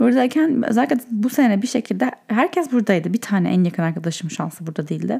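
The speaker races along at a very fast pace, the pitch swinging very widely. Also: woman, fairly high pitch for a woman, hardly any pauses. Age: 30s. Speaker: podcast host. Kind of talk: casual solo monologue. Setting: in bed at night.

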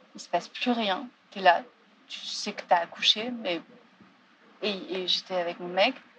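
A woman's medium-pitched voice at a moderate pace, with ordinary pitch variation, big swings in loudness, long, frequent pauses, and noticeable background noise. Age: 30s. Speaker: theatre director. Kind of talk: testimony.

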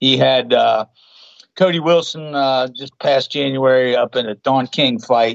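Here a man speaks with an Appalachian accent. His pitch is medium with ordinary variation. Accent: Appalachian American. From West Virginia. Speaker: filmmaker and boxing coach. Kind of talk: casual chat.

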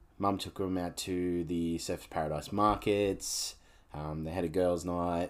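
On a very clean recording with a silent background, a man with an Australian accent speaks at a fairly slow pace in a very deep, low pitch with monotone, flat intonation. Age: 40s. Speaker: podcast host. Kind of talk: casual solo monologue.

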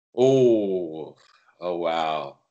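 Lively intonation marks this man's speech. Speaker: personal trainer and health coach. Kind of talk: casual interview.

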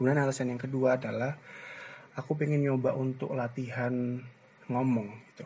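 Moving at a fairly quick pace, a man speaks with monotone, flat intonation. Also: medium pitch for a man. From East Java, Gresik. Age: 20s. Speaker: university student, podcaster. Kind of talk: solo casual monologue. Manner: hesitant, many fillers.

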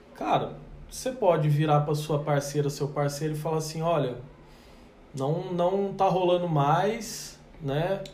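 Over noticeable background noise and audible room echo, a man speaks fairly slowly at a fairly high pitch with ordinary pitch variation, taking long, frequent pauses. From Brazil, countryside town. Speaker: podcast host. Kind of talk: casual chat.

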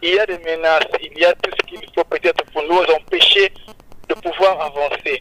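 A man at a moderate pace, dry and close with no echo, over noticeable background noise. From Republic of the Congo. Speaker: gospel singer. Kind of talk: radio interview. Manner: halting.

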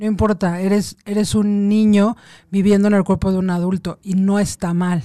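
A woman with a medium pitch and a dark, mellow tone talks at a moderate pace in a monotone, flat way. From Mexico City. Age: 40s. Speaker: lawyer and meditation workshop leader. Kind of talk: casual radio interview.

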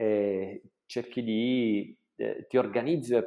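With an unremarkable speaking voice, a man talks at a medium pitch and with fairly even intonation. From southern Italy, Salento (Apulia). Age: 40s. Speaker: hotel entrepreneur. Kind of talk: interview.

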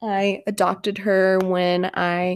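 A woman at a medium pitch. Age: 20s. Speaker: podcast host and graduate student. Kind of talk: casual monologue. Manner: animated.

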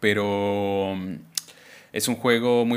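A man with monotone, flat delivery. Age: 20s. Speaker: podcast host. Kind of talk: casual chat. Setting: live stream.

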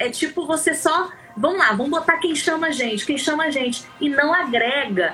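A woman's raised, projected voice, high in pitch with lively intonation, over music in the background. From Rio de Janeiro state, Brazil. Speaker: singer. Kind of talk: casual chat.

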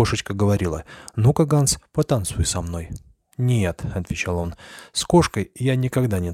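Plain reading aloud with lively intonation is heard against a quiet background.

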